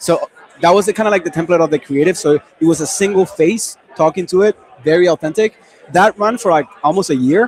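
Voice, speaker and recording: A man with a Spanish accent, high-pitched and fairly quick, his loudness very even and pitch varying normally, over noticeable background noise. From Venezuela. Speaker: e-commerce marketing expert. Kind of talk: panel discussion. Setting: livestream panel.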